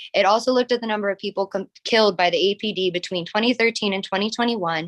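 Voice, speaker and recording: A woman with an American accent at a very fast pace, fairly even intonation, dry, close sound with no echo. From US, rural small town. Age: 20s. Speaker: public commenter. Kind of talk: public comment at council meeting.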